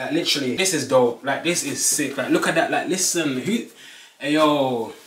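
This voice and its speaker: The man speaks at a moderate pace. There is audible room echo. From Birmingham, UK. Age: 20s. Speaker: fashion YouTuber; fashion vlogger. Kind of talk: casual talk to camera. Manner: upbeat, energetic. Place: home room. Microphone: camera far.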